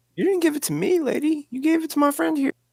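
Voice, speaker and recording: A put-on character voice rattles along at a very fast pace with a high pitch. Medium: actual play. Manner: blunt, confrontational.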